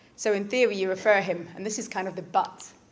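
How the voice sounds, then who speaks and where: A woman at a medium pitch, fairly quick and fairly even, with audible room echo. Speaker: doctor. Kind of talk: lecture. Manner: fast.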